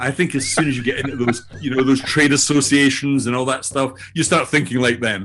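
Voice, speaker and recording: A man with a Scottish accent speaks fairly quickly at a medium pitch. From Scotland. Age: old. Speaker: AI learning entrepreneur and author. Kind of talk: interview self-introduction. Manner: hesitant, with fillers and repetitions.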